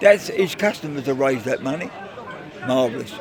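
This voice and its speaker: A man speaks at a moderate pace while a crowd murmurs in the background. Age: 80s+. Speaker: charity golf day organiser. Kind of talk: casual interview. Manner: animated.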